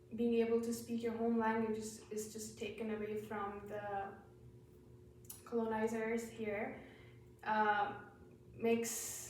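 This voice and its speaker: Fairly high woman's voice with a non-native accent, monotone and flat, fairly slow with long, frequent pauses, plus audible room echo and noticeable background noise. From India. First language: not English. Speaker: nursing student. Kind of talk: class presentation. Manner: halting.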